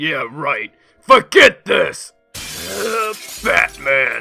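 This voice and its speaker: A raspy, put-on character voice is raised and projected at a very slow pace, with faint music in the background. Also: man. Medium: audio drama. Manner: aggressive, shouting.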